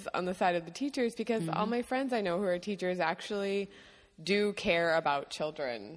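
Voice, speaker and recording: A woman talks at a moderate pace with lively intonation. She has an ordinary speaking voice. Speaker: guest. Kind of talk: casual chat.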